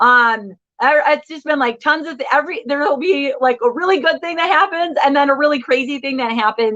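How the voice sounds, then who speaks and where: Loud and high-pitched, a woman speaks with a Midwestern American accent. Her intonation is lively and her pace fairly quick. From Michigan. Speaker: live show host for moms. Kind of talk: live stream chat. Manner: loud, talkative.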